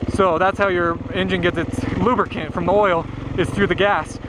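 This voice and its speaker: Background noise is clearly audible. The speaking pace sits in the middle range. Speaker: dirt bike vlogger. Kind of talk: casual vlog narration while riding. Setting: outdoors on a trail. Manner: rambling, mumbling.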